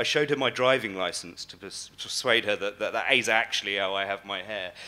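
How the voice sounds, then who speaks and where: With an English accent, a man talks at a very fast pace in a bright, sharp tone with ordinary pitch variation. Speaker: conference speaker. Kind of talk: keynote talk. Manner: hesitant, many fillers.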